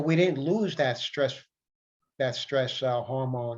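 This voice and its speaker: A man with an American accent talks at a medium pitch in an ordinary speaking voice. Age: 60s. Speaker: self-help vlogger. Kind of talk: casual monologue. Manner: repetitive.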